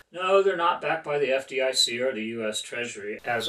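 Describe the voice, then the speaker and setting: Lively intonation from a medium-pitched man at a moderate pace, with noticeable background noise. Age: 60s. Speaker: self-employed businessman giving testimonial. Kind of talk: scripted testimonial.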